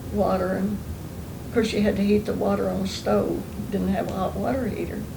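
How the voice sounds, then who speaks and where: A woman with an Oklahoma accent speaks amid audible room echo and noticeable background noise. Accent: Southern US (Oklahoma) rural. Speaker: oral history interviewee. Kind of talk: oral history interview, reminiscing. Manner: relaxed, conversational with fillers.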